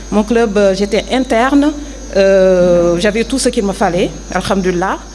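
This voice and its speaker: A woman's medium-pitched voice at a fairly slow pace and very even loudness, over noticeable background noise. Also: ordinary pitch variation. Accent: Senegalese. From Senegal. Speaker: former athlete, prison administration officer. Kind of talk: interview testimony. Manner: hesitant, many fillers.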